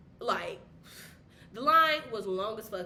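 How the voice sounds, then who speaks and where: Noticeable background noise and audible room echo fill the recording. Through them, a woman talks at a fairly high pitch. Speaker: vlogger. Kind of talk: casual vlog talk to camera. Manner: fast.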